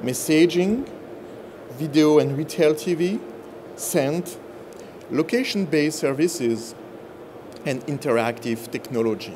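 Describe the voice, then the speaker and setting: A man with a strong French accent talks at a fairly slow pace and fairly high pitch, using lively intonation and long, frequent pauses, with noticeable background noise and audible room echo. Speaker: business executive. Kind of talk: conference presentation.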